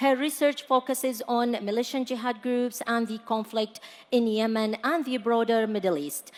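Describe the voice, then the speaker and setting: This is an unremarkable speaking voice with an American accent. It moves at a moderate pace with ordinary pitch variation. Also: woman, fairly high pitch for a woman. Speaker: panel moderator. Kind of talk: panel discussion.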